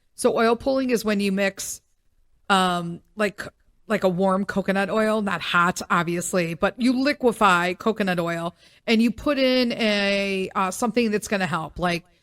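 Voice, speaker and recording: On a very clean recording with a silent background and a dry, close sound with no echo, a woman at medium pitch speaks fairly slowly in an animated tone with ordinary pitch variation. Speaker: podcast host. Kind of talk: casual solo podcast monologue.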